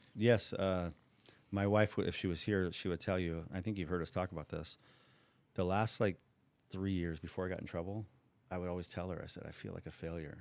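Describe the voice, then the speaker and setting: A man with a Californian accent and a very deep, low pitch, at a fairly quick pace with long, frequent pauses. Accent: Californian American English. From Southern California (Orange County). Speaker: former bookmaker. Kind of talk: interview. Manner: animated.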